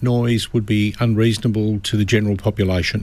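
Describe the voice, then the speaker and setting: Recorded dry with no echo, this man speaks with an Australian accent. His pace is fairly quick. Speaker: lawyer. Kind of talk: radio legal advice. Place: studio.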